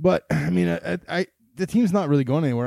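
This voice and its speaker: In a very clean recording with a silent background and a dry, close sound with no echo, a man speaks at a very fast pace in a dark, mellow tone. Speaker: fantasy football podcast co-host. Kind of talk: casual chat.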